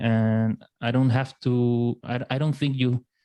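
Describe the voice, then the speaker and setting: In a Spanish accent, a man speaks at a fairly slow pace with a medium pitch and fairly even intonation. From Chile, La Serena. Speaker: writer and podcast host. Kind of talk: casual interview chat. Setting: podcast recording. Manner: halting.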